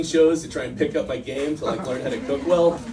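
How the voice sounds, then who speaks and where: Talking very fast at a fairly high pitch, a man comes through with audible room echo and noticeable background noise. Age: 60s. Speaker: stand-up comedian. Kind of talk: stand-up. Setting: stage with audience.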